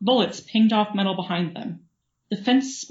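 Ordinary pitch variation runs through a natural reading voice. Nothing disturbs the quiet background.

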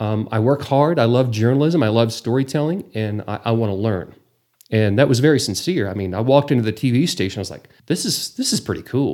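A man's medium-pitched voice with a Texas accent, dark and mellow in tone, at a fairly quick pace with ordinary pitch variation, on a very clean recording with a silent background. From Texas Panhandle, Borger. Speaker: travel show host, former news anchor. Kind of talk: casual interview.

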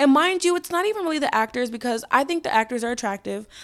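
A woman talking at a very fast pace, animated in tone and lively in intonation, on a very clean recording with a silent background. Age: 20s. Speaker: podcast host. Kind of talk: casual solo chat.

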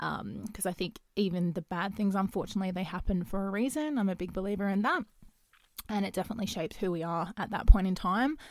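A woman in an Australian accent, medium-pitched and talking at a very fast pace. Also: ordinary pitch variation, very clean recording, silent background. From Western Australia. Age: 20s. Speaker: podcast host and YouTuber. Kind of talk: casual solo monologue. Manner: hesitant, many fillers.

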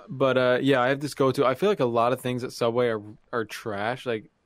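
A man with a Canadian accent speaks at a moderate pace in a medium pitch, his intonation fairly even, on a very clean recording with a silent background. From Canada. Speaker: podcast co-host. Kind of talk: casual chat.

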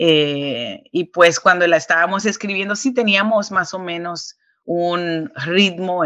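A woman speaks at a very slow pace with hardly any pauses, ordinary pitch variation and big swings in loudness. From New York. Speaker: singer. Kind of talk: interview.

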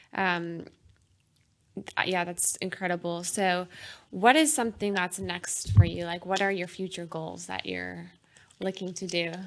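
Against a quiet background, a woman with a fairly low voice speaks at a fairly slow pace with fairly even intonation and long, frequent pauses. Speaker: podcast host. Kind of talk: interview, scripted intro then casual conversation. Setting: podcast interview.

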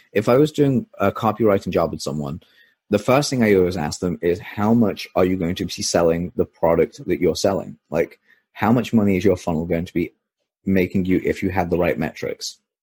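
On a very clean recording with a silent background and a dry, close sound with no echo, a man with a very deep, low pitch speaks at a fairly quick pace with ordinary pitch variation. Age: 20s. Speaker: copywriter. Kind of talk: interview.

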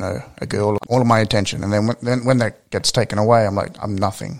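Fairly low male voice with an Australian accent. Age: 20s. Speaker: podcast host and professional wrestler. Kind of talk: casual interview.

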